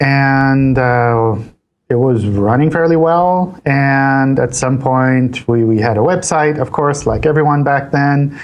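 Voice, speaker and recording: With an American accent, the speaker talks at a very slow pace using ordinary pitch variation. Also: man, fairly high pitch for a man. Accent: American-style. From Switzerland, partly US South as a child. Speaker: search engine company analyst. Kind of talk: interview. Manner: repeats words, casual.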